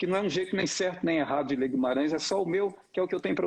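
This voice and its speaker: A man with a rural Minas Gerais accent talks at a very fast pace. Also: quiet background. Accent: rural Minas Gerais accent of his childhood. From Brazil, Novo Cruzeiro, northeast Minas Gerais. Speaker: actor. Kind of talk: casual introduction talk. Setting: live stream.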